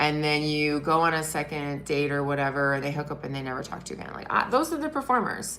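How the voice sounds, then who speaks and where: In a room with audible echo, an animated voice with a bright, sharp tone races along at a very fast pace with hardly any pauses. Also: woman, very deep, low pitch for a woman. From Britain. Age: 40s. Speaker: wellness and dating content creator. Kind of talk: live stream monologue.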